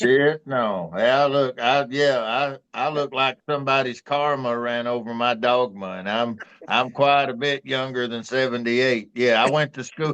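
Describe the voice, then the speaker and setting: A medium-pitched man in an East Texas accent, at a fairly slow pace with hardly any pauses. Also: fairly even intonation. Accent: East Texas Southern. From East Texas, Tyler. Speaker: talk show co-host. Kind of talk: casual chat.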